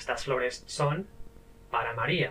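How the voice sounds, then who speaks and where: Noticeable background noise runs behind the speaker, a man. He talks at a fairly slow pace. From Spain, Catalonia region. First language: Spanish. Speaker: language teacher. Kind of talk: tutorial. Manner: clear, deliberate teaching pace.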